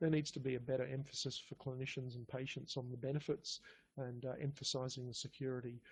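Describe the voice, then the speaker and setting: Somewhat breathy and medium in pitch, a man races along at a very fast pace with fairly even intonation in a strong Australian accent. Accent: broad Australian. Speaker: pathology lab biochemistry manager. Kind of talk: conference talk. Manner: halting, many fillers and repeats.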